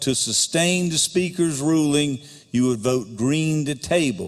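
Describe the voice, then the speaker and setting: A man with an American accent talks at a fairly slow pace, his pitch fairly high with ordinary variation. Noticeable background noise runs behind him. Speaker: legislative speaker presiding. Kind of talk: parliamentary procedure. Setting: legislative chamber. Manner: formal.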